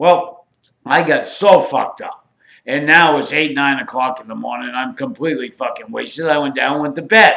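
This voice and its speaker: Fairly high-pitched male voice with vocal fry, ordinary pitch variation and a moderate pace. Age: 60s. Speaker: former drug smuggler. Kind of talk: casual storytelling to camera.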